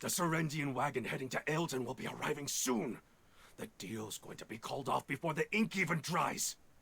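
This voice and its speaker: Moderate pace from a man in a put-on character voice, his pitch fairly high. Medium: video game. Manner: brusque.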